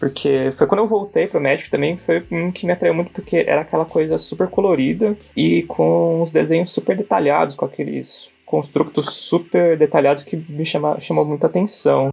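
A man at a moderate pace, with hardly any pauses. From Brazil, Santo André, São Paulo. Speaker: illustrator. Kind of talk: casual interview.

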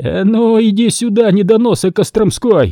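A man shouting in a high-pitched, put-on character voice. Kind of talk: rough, aggressive. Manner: shouting angrily.

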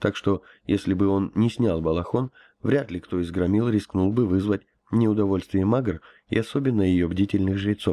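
A natural reading voice, with ordinary pitch variation, comes through against a quiet background.

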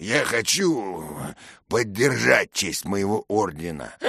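A man uses a put-on character voice, raspy and fairly low in pitch. He talks at a fairly slow pace with lively intonation against a quiet background. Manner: laughing, mocking.

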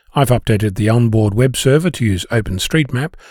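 A man at a medium pitch, somewhat breathy, with lively intonation and a fairly quick pace, in a dry, close sound with no echo on a very clean recording against a silent background. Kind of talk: scripted essay reading. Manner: calm, thoughtful, explanatory.

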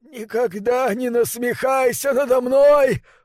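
A man puts on a growling character voice, extremely high-pitched, with fairly even intonation at a fairly slow pace. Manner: growling, furious.

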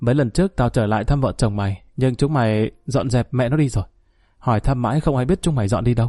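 This is delivered in an unforced reading voice.

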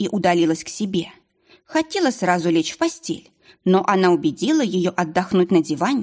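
A quiet background underlies this plain reading aloud.

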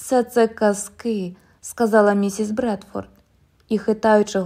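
Here, a natural reading voice carries the words.

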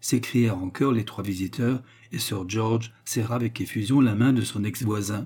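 Reading in a natural voice

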